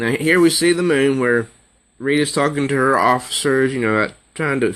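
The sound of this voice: The clip carries an unforced reading voice whose pitch varies in an ordinary way.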